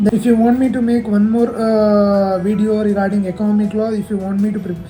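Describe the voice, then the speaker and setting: The speaker talks at a very fast pace with a slight South Indian accent. Noticeable background noise runs underneath. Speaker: chartered accountancy student. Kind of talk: casual tutorial. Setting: office. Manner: halting.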